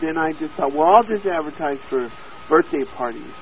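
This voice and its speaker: With music in the background, a man talks in a fairly high voice with an American accent. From Oklahoma, US. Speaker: copywriter. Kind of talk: interview.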